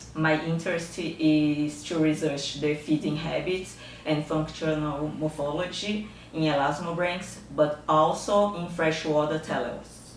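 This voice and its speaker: Against noticeable background noise and audible room echo, a woman speaks at a fairly slow pace with a very deep, low pitch and monotone, flat intonation. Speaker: researcher, fish biologist. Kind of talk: scientific lecture. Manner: halting, with frequent fillers.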